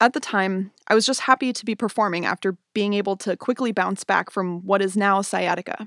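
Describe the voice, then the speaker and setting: A woman with an American accent in an ordinary speaking voice, medium-pitched, fairly quick with hardly any pauses and fairly even intonation, on a very clean, dry, close recording with a silent background and no echo. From US Pacific Northwest (Spokane, Washington). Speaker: podcast host and dancer. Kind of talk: scripted monologue. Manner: measured, read-aloud delivery.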